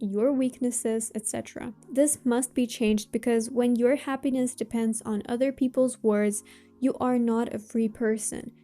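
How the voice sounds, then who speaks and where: Her voice is high-pitched with a dark, mellow tone, and this woman keeps a moderate pace and fairly even intonation. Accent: Russian. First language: Russian. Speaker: self-help vlogger. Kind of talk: motivational talk to camera.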